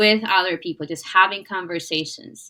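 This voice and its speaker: This woman talks at a medium pitch with a non-native accent. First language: not English. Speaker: podcast host. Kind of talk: interview conversation.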